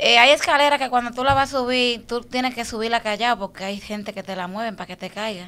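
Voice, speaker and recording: A woman races along at a very fast pace with hardly any pauses, her fairly high voice bright and sharp in tone and her loudness swinging widely. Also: ordinary pitch variation. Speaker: social media personality. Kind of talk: interview. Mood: relaxed, reflective. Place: studio. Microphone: studio mic.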